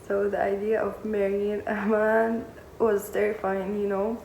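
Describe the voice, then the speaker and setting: A woman with a fairly high pitch talks at a fairly slow pace in a monotone, flat intonation. Noticeable background noise sits behind her. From Syria, Damascus. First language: Arabic. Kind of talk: personal storytime to camera.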